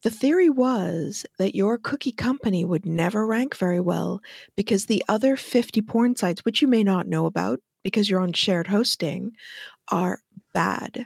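Lively intonation comes through at a moderate pace on a very clean recording with a silent background and a dry, close sound with no echo. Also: woman, medium pitch for a woman. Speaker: SEO expert. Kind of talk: casual banter interview. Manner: playful, uses elaborate vocabulary.

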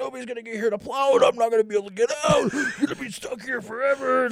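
A man uses a put-on character voice at an extremely high pitch and very fast pace, with fairly even intonation, big swings in loudness and clear background noise. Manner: panicked, freaking out.

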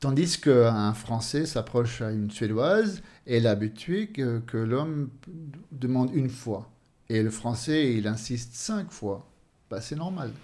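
A man speaks at a very slow pace with lively intonation. His tone is dark and mellow. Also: medium pitch for a man. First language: Swedish (speaking French). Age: 50s. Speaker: author. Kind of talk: interview. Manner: halting.

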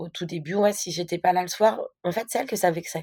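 A woman speaks at a fairly quick pace with fairly even intonation. Her medium pitch carries a dark, mellow tone. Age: 30s. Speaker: stepmother sharing her experience. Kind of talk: casual interview testimony.

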